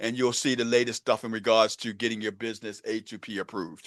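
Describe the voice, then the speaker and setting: At a fairly quick pace, a man with a Baltimore accent speaks at a medium pitch, the sound dry and close with no echo over a quiet background. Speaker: real estate and AI coach. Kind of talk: online group coaching meeting. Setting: video call. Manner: casual, animated.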